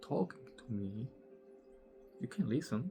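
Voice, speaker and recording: Over music in the background, a man with a Slovak accent speaks at a fairly slow pace in a medium pitch. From Slovakia. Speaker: spiritual teacher. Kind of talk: casual monologue. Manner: slow, deliberate pace.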